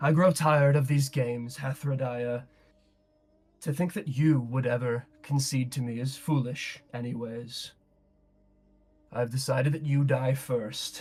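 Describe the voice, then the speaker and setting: At a moderate pace with long, frequent pauses, a man puts on a booming character voice at medium pitch. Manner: menacing, contemptuous.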